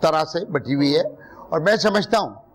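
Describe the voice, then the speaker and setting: A man with a high voice speaks over noticeable background noise. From Pakistan, Urdu-speaking Muhajir family. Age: 60s. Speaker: politician. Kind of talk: TV political talk show debate. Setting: TV studio hall.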